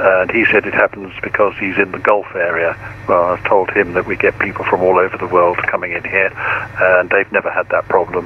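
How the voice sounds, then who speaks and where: A man talks at a fairly quick pace with hardly any pauses, noticeable background noise behind him. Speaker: virtual air traffic controller. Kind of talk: radio dispatch, air traffic control phraseology. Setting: online flight simulation network radio. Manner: formal, clipped, procedural, calm; helpful, explanatory when correcting.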